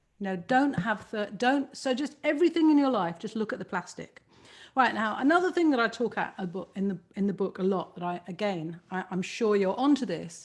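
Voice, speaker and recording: A woman talks at a fairly quick pace in an animated tone. Her medium-pitched voice is somewhat breathy and swings very widely in pitch. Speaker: author. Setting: video call.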